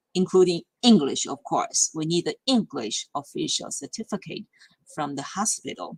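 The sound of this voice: The pitch swings widely, with a slightly husky edge. The sound is dry and close, with no echo.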